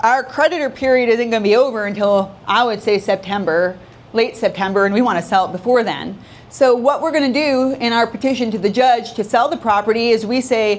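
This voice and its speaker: An unremarkable speaking voice from a woman, fairly high-pitched, with ordinary pitch movement and a fairly quick tempo. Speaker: probate attorney. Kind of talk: seminar talk. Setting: meetup with audience, using a mic.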